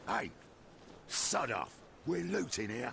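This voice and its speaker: A man's put-on character voice, raspy and fairly low-pitched, over clear background noise. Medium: video game. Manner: rough, slangy.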